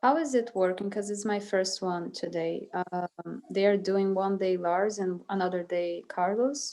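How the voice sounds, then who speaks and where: A woman's medium-pitched voice in a Brazilian Portuguese accent, fairly slow, with hardly any pauses and ordinary pitch variation. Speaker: music student. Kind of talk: casual chat.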